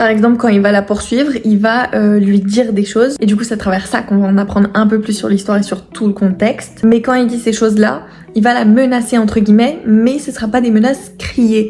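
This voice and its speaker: A woman's fairly high voice at a fairly quick pace, hardly any pauses and fairly even intonation, over noticeable background noise. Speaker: writing YouTuber and author. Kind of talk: casual vlog. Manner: hesitant with frequent fillers.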